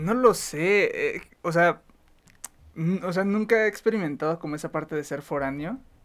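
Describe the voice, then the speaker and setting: With a high pitch and ordinary pitch variation, a man talks at a fairly slow pace. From Chihuahua, northern Mexico. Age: 20s. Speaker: university student. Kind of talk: casual chat.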